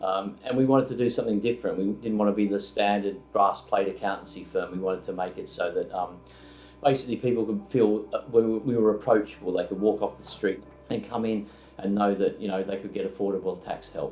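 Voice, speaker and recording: A man with an Australian accent speaks at a fairly quick pace in a fairly low pitch, his intonation fairly even, with music playing in the background. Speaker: accountancy firm founder. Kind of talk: interview testimonial. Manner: hesitant, many fillers.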